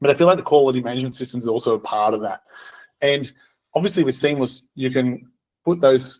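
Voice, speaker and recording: Using an Australian accent, a man of medium pitch talks very fast with ordinary pitch variation, yet breaks it up with long, frequent pauses. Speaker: software co-founder and accountant. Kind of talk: webinar presentation. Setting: recorded webinar.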